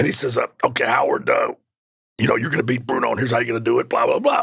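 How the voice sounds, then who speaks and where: The voice moves at a very fast pace with a dry, close sound and no echo. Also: man. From Mississippi. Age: 50s. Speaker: professional wrestler. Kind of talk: interview. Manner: animated.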